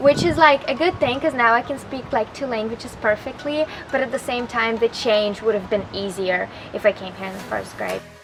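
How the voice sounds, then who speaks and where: Over noticeable background noise, a woman with a Russian accent speaks at a fairly quick pace and a fairly high pitch, with ordinary pitch variation and big swings in loudness. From Russia (Moscow), moved to Florida after elementary school. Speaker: college student. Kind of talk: interview. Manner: casual, many fillers.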